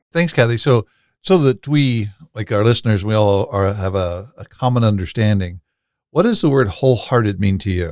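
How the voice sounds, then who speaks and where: This man has an ordinary speaking voice, fairly low in pitch with ordinary pitch variation, speaking at a moderate pace on a very clean recording with a silent background. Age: 50s. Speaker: podcast host and workshop founder. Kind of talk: podcast interview.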